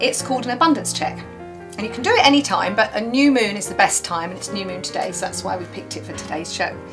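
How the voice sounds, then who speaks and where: Speech at a very fast pace plays over clear music in the background. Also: woman. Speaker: TV presenter; alchemy healer. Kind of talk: TV show segment. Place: studio.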